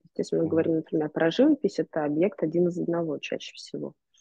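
Against a quiet background, a woman speaks at a fairly low pitch with ordinary pitch variation, the sound dry with no echo. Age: 20s. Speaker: gallery curator and photographer; podcast guest. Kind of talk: interview conversation. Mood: calm, thoughtful. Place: home room. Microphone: video call.

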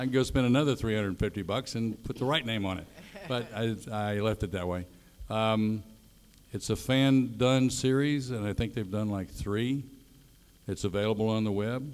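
Speaking at a medium tempo, a man uses ordinary pitch movement. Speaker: guest. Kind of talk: panel Q&A answer. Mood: relaxed, friendly. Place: stage.

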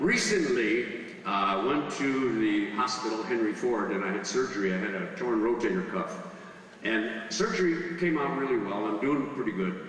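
Strong room echo carries the voice of a man speaking at a moderate pace. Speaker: stand-up comedian. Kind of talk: stand-up comedy routine. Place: stage.

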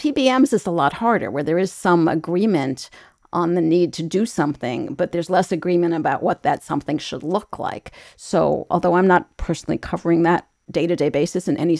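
A woman with a plain, everyday voice talks at a fairly quick pace and a fairly low pitch. Her intonation is lively, and the sound is dry and close with no echo. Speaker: health reporter. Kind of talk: news panel discussion. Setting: video call.

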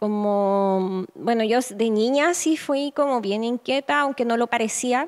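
A woman speaks with a Chilean accent. Her pace is fairly slow. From northern Chile. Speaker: photographer. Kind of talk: interview. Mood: reflective, calm. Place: home room. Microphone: handheld.

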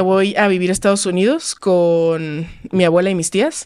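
A woman against a quiet background. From Mexico, Los Cabos (Baja California Sur); Baja California Sur, Mexico. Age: 20s. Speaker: lifestyle content creator. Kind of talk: casual interview. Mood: reflective, personal story. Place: studio. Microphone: studio mic.

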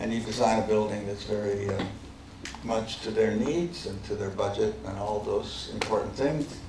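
A man with a fairly low-pitched voice talks at a moderate speed, with noticeable noise behind him. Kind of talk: lecture. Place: hall. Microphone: podium.

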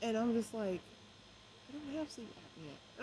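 Noticeable background noise surrounds a woman whose fairly high pitch makes very wide swings. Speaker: vlogger. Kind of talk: casual vlog storytelling. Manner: halting with many fillers; trying not to talk loud. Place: garden. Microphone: phone near.

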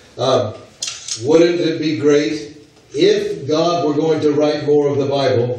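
Strong room echo follows a man speaking at a fairly slow pace in a fairly high pitch. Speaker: visiting preacher. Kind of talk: sermon. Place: church.

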